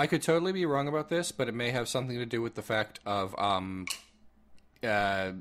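With lively intonation and a fairly quick pace, a man talks in a plain, everyday voice. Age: 30s. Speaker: podcast host. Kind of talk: casual chat.

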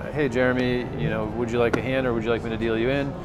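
A man talks at a very fast pace. Clear music can be heard behind him. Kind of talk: tutorial. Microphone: lapel.

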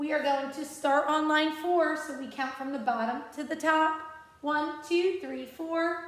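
Amid audible room echo, a woman speaks in a high voice at a fairly slow pace. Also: fairly even intonation. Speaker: music teacher. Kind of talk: tutorial. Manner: slow, patient and encouraging. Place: classroom. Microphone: phone near.

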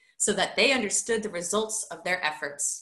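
A woman's bright, sharp voice carries audible room echo over a quiet background. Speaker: high school teacher. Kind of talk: children's book read-aloud. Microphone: webcam.

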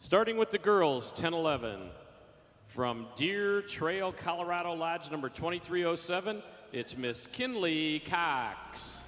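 A man's high pitch and lively intonation at a very slow pace. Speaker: arena announcer. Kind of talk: hyped arena announcer calling out contestants by hometown, rallying the crowd. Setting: PA system in arena. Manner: loud, crowd-pumping with 'make some noise' calls; drawn-out emphatic name introductions. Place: stadium.

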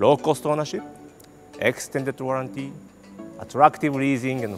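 Behind the man's speech, faint music can be heard. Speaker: presenter. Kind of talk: product launch presentation. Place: studio. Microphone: lapel.

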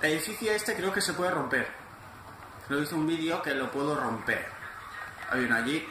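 A man with fairly high pitch speaks at a fairly quick pace, with lively intonation, very even loudness and long, frequent pauses. Audible room echo and noticeable background noise are present. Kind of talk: gameplay commentary. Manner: animated.

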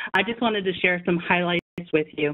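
A woman's fairly low voice with ordinary pitch variation, an unremarkable speaking voice, over a quiet background. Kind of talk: presentation on a call. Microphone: phone line.

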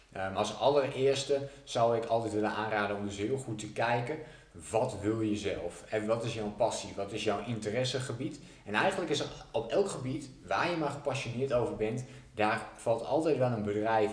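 A man speaking at a moderate pace, with audible room echo. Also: ordinary pitch variation. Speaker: business coach. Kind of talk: tutorial. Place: home room.

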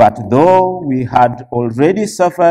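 A man's dark, mellow tone at a very slow pace. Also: quiet background. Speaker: church elder preaching. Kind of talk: sermon scripture reading. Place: church.

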